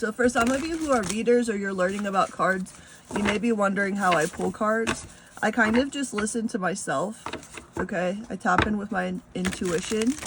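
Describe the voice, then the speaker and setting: The speech moves at a moderate pace with ordinary pitch variation, and noticeable background noise can be heard. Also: woman, medium pitch for a woman. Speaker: tarot reader. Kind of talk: tarot reading.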